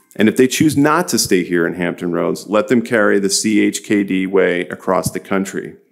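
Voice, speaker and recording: Vocal fry runs through a man's fairly low voice as he speaks at a moderate pace with lively intonation and hardly any pauses. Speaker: hospital executive. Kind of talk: ceremony speech. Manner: loud.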